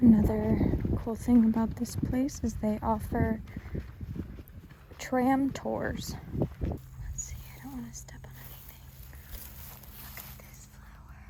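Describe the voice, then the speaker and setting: A woman whispers very slowly, with long, frequent pauses and big swings in loudness. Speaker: shamanic reiki practitioner and ASMR creator. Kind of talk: casual talk to camera. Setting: outdoors, windy park.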